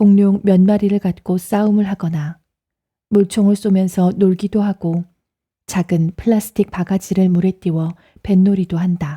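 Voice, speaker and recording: A woman's somewhat breathy, dark, mellow voice at medium pitch, calm and soothing in tone, with monotone, flat intonation at a fairly slow pace, in a very clean recording with a silent background and a dry, close sound with no echo. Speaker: audiobook narrator. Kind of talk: audiobook reading. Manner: calm, soothing.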